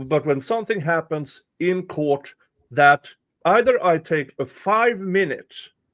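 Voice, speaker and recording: Lively in intonation, a man with a non-native accent speaks in a fairly high pitch. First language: not English. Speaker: livestreamer. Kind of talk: casual livestream chat.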